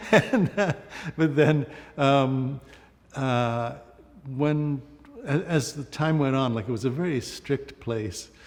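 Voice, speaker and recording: Against noticeable background noise, a man with an American accent speaks very slowly in a fairly high pitch, with long, frequent pauses. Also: ordinary pitch variation. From Trinidad, Colombia, US, Ontario boarding school. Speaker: photographer. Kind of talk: interview. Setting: gallery interview. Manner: halting, many fillers.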